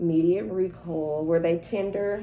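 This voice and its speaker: A woman speaks at a moderate pace with a fairly low pitch and fairly even intonation. Audible echo fills the room. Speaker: nursing student performing a health assessment. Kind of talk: simulated clinical assessment talk. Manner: halting.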